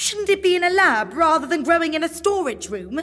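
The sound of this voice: Doing a put-on character voice, a woman goes extremely high in pitch with big pitch swings, a bright, sharp tone and a fairly quick pace.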